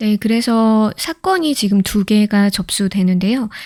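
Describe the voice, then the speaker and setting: Quiet and calm in tone, a woman with a fairly high pitch talks at a fairly slow pace with ordinary pitch variation, her dry, close sound carrying no echo on a very clean recording with a silent background. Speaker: lawyer. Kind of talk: sleep-aid legal case reading. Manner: calm, quiet.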